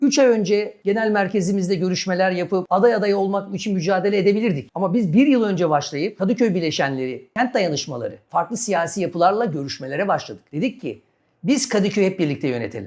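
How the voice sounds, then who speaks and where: Against a quiet background, a high-pitched man talks at a fairly quick pace with lively intonation and hardly any pauses. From Istanbul, Turkey. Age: 40s. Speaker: lawyer and local election candidate. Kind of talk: interview.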